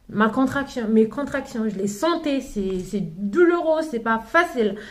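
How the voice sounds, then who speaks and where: A woman speaks with a non-native accent at a fairly slow pace. Her pitch is fairly high, and audible room echo is present. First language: not French (speaking French). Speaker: mother sharing parenting advice. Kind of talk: casual vlog talk. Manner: halting, many fillers and restarts.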